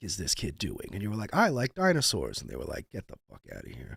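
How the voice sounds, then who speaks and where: This man uses a gravelly, put-on character voice. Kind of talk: deep gravelly put-on voice.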